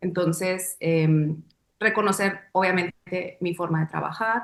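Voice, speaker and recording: This woman speaks with monotone, flat intonation. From Mexico, Sonora. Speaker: dancer and choreographer. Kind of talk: interview. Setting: webcast. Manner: reflective, with many fillers.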